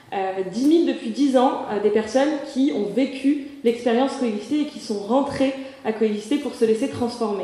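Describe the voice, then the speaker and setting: Noticeable background noise plus audible room echo. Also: woman, high pitch for a woman, ordinary pitch variation, moderate pace. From Morocco. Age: 20s. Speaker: association president, seminar speaker. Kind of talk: conference talk. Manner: hesitant, many filler sounds.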